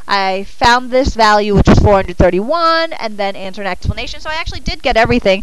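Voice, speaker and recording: Mumbling very fast with hardly any pauses, a woman with a fairly high voice and lively intonation is heard over noticeable background noise and audible room echo. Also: big swings in loudness. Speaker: math teacher. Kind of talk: classroom lecture. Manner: halting, thinking aloud.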